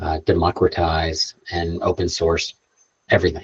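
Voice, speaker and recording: Soft-spoken and somewhat breathy, a man with a very deep, low pitch is heard in a dry, close sound with no echo. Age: 60s. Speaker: space tech entrepreneur and guest speaker. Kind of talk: bootcamp Q&A talk. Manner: casual, halting with fillers.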